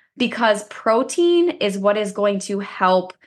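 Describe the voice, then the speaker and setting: A woman's medium-pitched voice, a normal speaking voice, at a fairly slow pace against a quiet background. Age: 20s. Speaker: fitness podcast co-host. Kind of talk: casual chat.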